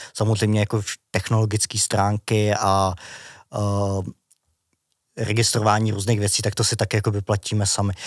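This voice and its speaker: At a moderate pace with long, frequent pauses, the speech stays monotone and flat in intonation and very even in loudness, in a very clean recording with a silent background. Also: man, fairly low pitch for a man. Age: 30s. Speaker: journalist. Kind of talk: interview.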